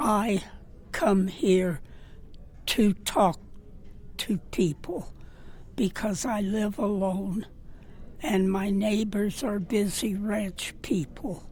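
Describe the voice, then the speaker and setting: The speaker goes at a very slow pace, with long, frequent pauses. The voice is somewhat breathy, with ordinary pitch variation. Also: woman, medium pitch for a woman. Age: 90s. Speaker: rancher advocate, senior center regular. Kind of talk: interview.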